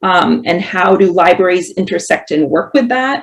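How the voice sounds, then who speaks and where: This woman has an unremarkable speaking voice at a medium pitch, with ordinary pitch variation. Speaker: professor. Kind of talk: panel presentation.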